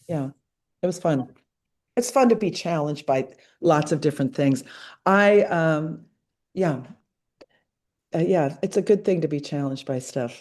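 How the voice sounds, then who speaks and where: A woman speaks at a very deep, low pitch with lively intonation. She leaves long, frequent pauses. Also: moderate pace. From Madrid, Spain. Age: 70s. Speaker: artist. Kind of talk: Q&A at an online artist talk. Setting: video call. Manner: halting, with many fillers and restarts.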